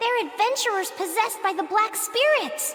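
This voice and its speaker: In a squeaky, put-on character voice at an extremely high pitch, the speaker goes at a moderate pace over clear background noise. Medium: video game. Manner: brash, blunt.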